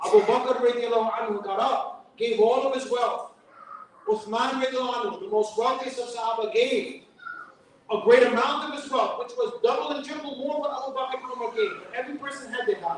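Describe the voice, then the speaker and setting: In a New York accent, a man speaks at a fairly quick pace with an extremely high pitch and ordinary pitch variation. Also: big swings in loudness. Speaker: imam giving a fundraising talk. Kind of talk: fundraising speech.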